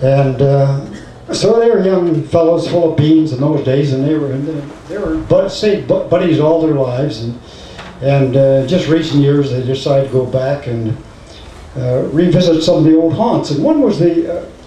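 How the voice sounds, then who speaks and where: Audible room echo and noticeable background noise, at a moderate pace. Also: man, fairly high pitch for a man, ordinary pitch variation. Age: old. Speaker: retired bush pilot. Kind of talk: storytelling to an audience. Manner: halting, many fillers.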